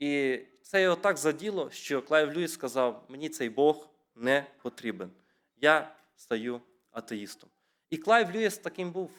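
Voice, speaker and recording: A man's fairly high-pitched voice at a very slow pace, broken by long, frequent pauses. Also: lively intonation. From Ukraine, rural Rivne region (Sarny district). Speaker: preacher. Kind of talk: sermon.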